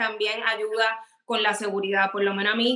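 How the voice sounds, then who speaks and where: At a moderate pace, a woman talks in a fairly high voice with monotone, flat intonation. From Puerto Rico. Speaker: celebrity fashion stylist. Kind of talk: casual interview.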